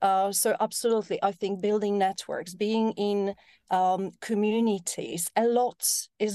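In a Polish accent, a woman talks at a moderate pace with a medium pitch. Her tone is dark and mellow, and her intonation stays flat and monotone. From Poland. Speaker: tech entrepreneur. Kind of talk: casual chat.

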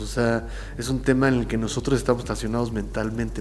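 A man with a Mexican accent, amid noticeable background noise and audible room echo. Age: 40s. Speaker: muralist and graphic artist. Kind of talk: interview. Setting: his art studio.

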